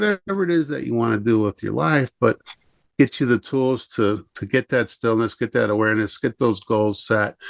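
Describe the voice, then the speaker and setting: A man with an American accent uses an unremarkable speaking voice at a fairly low pitch, with a dry, close sound with no echo and a quiet background. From Chicago area. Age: 50s. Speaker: self-help coach and energy healer. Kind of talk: podcast interview.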